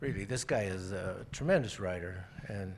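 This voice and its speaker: A man with an American accent and ordinary pitch variation, with audible room echo. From Colorado (Florence, rural southern Colorado). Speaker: crime novelist. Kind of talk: interview. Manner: halting.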